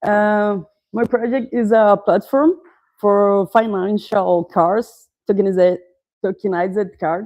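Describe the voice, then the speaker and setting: A woman speaks with a Portuguese accent at a medium pitch. Her pace is very slow, and her pitch rises and falls in an ordinary way. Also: quiet background. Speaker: startup founder. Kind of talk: pitch presentation. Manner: halting, many fillers.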